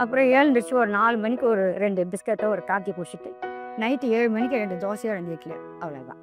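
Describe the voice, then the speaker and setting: A woman talks at a fairly high pitch with music in the background. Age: 70s. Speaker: milk delivery woman. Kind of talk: interview answer.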